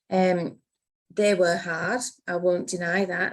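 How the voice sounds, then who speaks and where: This woman speaks with a Cumbrian accent. Her pitch is medium and her intonation fairly even. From Cumbria, northern England. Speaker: accountant, business partner. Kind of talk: podcast interview.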